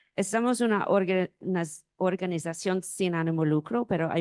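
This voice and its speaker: A woman with an English accent speaks at a fairly slow pace. The sound is dry and close with no echo, over a quiet background. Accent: non-native Spanish, English-speaking. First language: English (speaking Spanish). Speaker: publishing director, panelist. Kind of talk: conference panel presentation. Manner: halting, many fillers.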